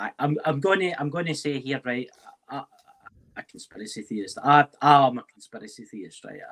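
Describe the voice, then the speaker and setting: A man with a Scottish accent at a fairly quick pace, ordinary pitch variation, big swings in loudness, dry, close sound with no echo. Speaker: paranormal investigator. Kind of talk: casual chat.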